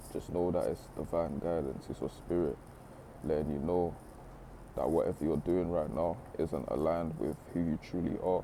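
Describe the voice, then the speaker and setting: This man's voice is very deep and low, with vocal fry. His tone is dark and mellow, and his intonation stays fairly even. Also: moderate pace. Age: 20s. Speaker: motivational speaker. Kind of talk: motivational talk. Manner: casual, conversational.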